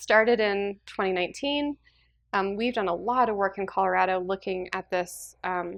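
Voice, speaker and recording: Woman's normal speaking voice at a medium pitch, with ordinary pitch variation and a moderate pace. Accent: American. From rural Western Nebraska. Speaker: state water policy official and lawyer. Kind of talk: public lecture.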